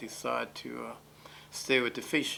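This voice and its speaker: A man talks with an American accent and vocal fry. His tone is bright and sharp. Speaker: fishing boat captain. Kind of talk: interview.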